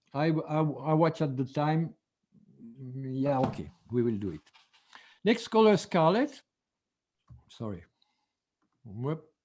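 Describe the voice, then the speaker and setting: A man with a fairly high pitch and lively intonation, at a very slow pace with long, frequent pauses. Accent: French. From France. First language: French. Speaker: color therapy teacher. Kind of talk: online seminar lecture. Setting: video call. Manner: halting, with frequent fillers and restarts.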